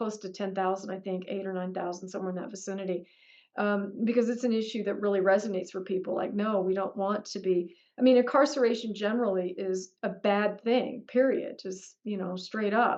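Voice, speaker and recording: This is a woman with an ordinary speaking voice at medium pitch. She goes at a fairly quick pace with fairly even intonation. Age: 60s. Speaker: political candidate. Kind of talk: Q&A interview. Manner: conversational, with many fillers.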